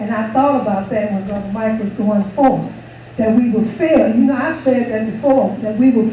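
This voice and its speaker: With noticeable background noise behind her, a woman speaks at a moderate pace, her fairly high pitch varying in an ordinary way. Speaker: church member leading closing prayer. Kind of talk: closing prayer. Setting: church.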